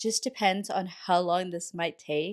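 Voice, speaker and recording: On a very clean recording with a silent background, a woman with a plain, everyday voice talks at a moderate pace and medium pitch. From Texas. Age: 20s. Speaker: lifestyle vlogger. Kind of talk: casual voiceover vlog narration.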